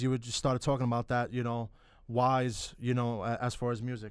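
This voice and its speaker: In a New York accent, a man speaks at medium pitch and a moderate pace. The recording is very clean, with a silent background. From New York, Bronx. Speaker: sports talk show host. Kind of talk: interview. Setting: studio.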